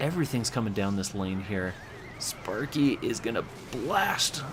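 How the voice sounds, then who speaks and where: A man with lively intonation talks at a fairly slow pace amid noticeable background noise. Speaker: gaming commentator. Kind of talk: game commentary. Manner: halting, stumbles over words.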